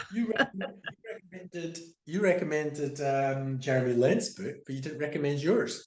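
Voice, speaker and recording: In a Scottish accent, a man talks with a fairly high pitch and a somewhat breathy voice. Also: moderate pace. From Scotland. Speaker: guest on a conversation series. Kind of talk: casual chat.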